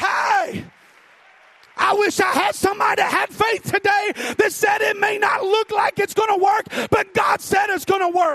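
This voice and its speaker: A shouting man with an extremely high pitch and an animated tone, at a moderate pace, in a dry, close sound with no echo and noticeable background noise. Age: 40s. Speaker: preacher. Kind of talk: sermon. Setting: church with congregation. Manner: animated, exhorting the congregation, call-and-response; fervent, rhythmic.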